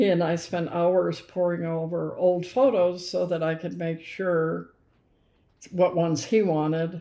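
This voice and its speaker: In a dark, mellow tone, a woman speaks at a fairly low pitch and a fairly slow pace, with fairly even intonation. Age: 80s+. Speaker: grandmother and former family caregiver. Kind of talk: casual chat.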